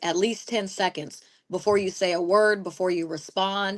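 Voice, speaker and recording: Here a woman uses an ordinary speaking voice at a medium pitch, with fairly even intonation. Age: 40s. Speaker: podcast co-host. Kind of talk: casual chat.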